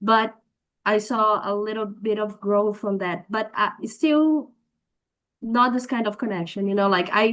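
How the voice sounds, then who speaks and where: Over a quiet background, a woman with a Portuguese accent speaks at a fairly slow pace, her fairly high pitch showing ordinary variation. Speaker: workshop participant, academic content creator. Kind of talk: question in workshop. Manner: halting.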